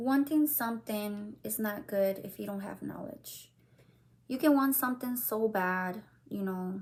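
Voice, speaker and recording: Somewhat breathy, the voice moves at a fairly slow pace with ordinary pitch variation. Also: woman, fairly high pitch for a woman. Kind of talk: devotional talk. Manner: hesitant, many fillers.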